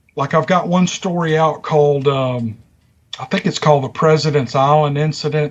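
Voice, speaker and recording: In a strong Southern US accent, a man with a fairly high pitch speaks with fairly even intonation and a somewhat breathy sound. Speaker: YouTube story narrator. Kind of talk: casual interview chat. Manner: talkative.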